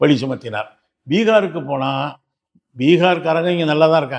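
Pitched fairly high, a man with a normal speaking voice uses lively intonation. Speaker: politician. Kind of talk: political commentary.

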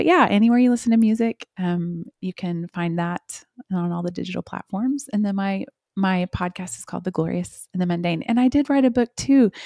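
A woman with an American accent talks at a fairly quick pace in a dark, mellow tone, with lively intonation and big swings in loudness, the sound dry with no echo over a quiet background. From Oklahoma. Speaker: worship singer-songwriter; guest. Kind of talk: casual interview chat. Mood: warm, reflective, heartfelt. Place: home room. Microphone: studio mic.

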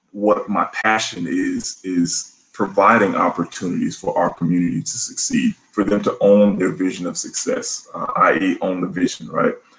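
A man at a moderate pace, with hardly any pauses. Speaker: guest. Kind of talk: interview answer. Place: home room. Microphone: video call.

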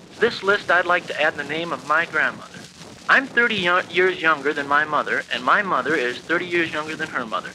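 Light background noise sits under a man talking at a fairly quick pace in a high pitch, with ordinary pitch variation. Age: 20s. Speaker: university student. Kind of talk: speech class tribute narration. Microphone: old recording.

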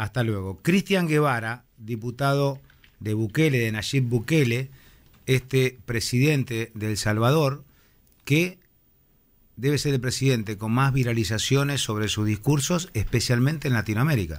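A man talks at medium pitch and a fairly slow pace. He has a normal speaking voice with ordinary pitch variation. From Argentina. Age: 50s. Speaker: radio host. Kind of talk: radio interview. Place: studio. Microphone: studio mic.

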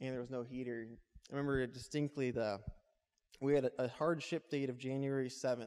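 A man's monotone, flat delivery with long, frequent pauses, in an American accent, against a quiet background. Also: fairly quick pace. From US West Coast. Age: 20s. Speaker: entrepreneur. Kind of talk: talk to a live audience. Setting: stage with audience. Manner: casual, with filler words. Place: hall. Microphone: handheld.

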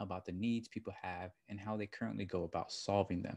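With a quiet background, a man talks at a fairly quick pace in a fairly low pitch and fairly even intonation. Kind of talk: work vlog reading and commenting on own document. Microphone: webcam.

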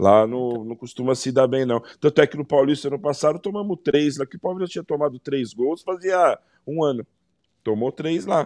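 A man with an ordinary speaking voice, fairly high pitch and ordinary pitch variation, at a moderate pace, in a dry sound with no echo and a quiet background. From Brazil. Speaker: football pundit. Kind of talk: casual debate. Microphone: video call.

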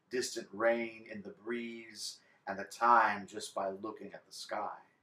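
A man's bright, sharp-toned voice with audible room echo. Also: big swings in loudness. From Texas, Galveston; Texas. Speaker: poet. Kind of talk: poetry reading. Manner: expressive. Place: home room. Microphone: camera far.

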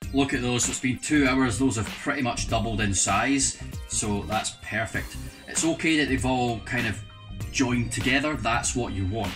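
Clear music plays in the background as a man speaks with ordinary pitch variation. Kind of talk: tutorial. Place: kitchen.

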